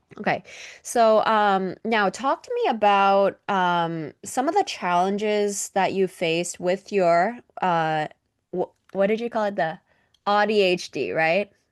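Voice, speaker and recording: A woman speaks at a fairly slow pace in a plain, everyday voice, her medium pitch showing ordinary variation, with a dry, close sound, no echo, and a quiet background. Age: 20s. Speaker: podcast host. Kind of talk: interview.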